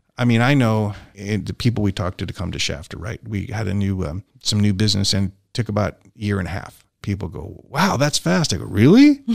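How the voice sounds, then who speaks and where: A man talks at a fairly quick pace with hardly any pauses, his fairly low voice showing ordinary pitch variation and big swings in loudness, in a dry, close sound with no echo on a very clean recording with a silent background. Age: 60s. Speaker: city business development director. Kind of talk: casual chat. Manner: halting.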